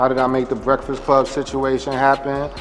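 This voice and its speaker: A man's voice over noticeable background noise. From New York City (Harlem). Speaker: vodka brand founder. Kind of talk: interview. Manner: casual, conversational.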